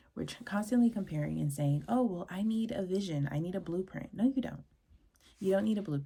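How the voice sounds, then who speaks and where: Her pace is fairly quick. The woman's voice is somewhat breathy. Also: medium pitch for a woman, lively intonation. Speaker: podcast host. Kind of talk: mini-lesson monologue. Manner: fast; casual, rambling.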